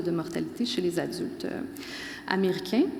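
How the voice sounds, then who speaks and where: Someone with a Quebec accent speaks at a fairly quick pace amid audible room echo and noticeable background noise. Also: woman. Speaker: professor. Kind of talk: conference talk. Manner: fast.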